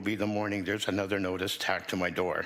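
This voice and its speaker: Spoken at a fairly quick pace in a Canadian accent, the voice carries audible room echo. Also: man. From Hamilton, Ontario, Canada. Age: 60s. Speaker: tenant activist. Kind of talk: prepared testimony. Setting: city council committee meeting. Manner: formal.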